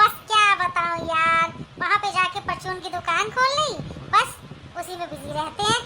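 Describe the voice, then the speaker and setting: A squeaky, cartoonish character voice speaks at a moderate pace with ordinary pitch variation and big swings in loudness, over light background noise. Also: woman, extremely high pitch for a woman. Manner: chatty, laughing.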